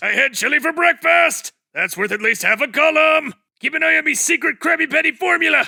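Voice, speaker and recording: A man's cartoonish character voice, extremely high in pitch, at a fairly quick pace. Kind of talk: cartoon fan dub.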